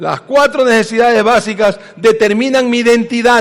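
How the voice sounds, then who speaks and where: This man talks at an extremely high pitch with fairly even intonation. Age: 60s. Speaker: pastor. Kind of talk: sermon.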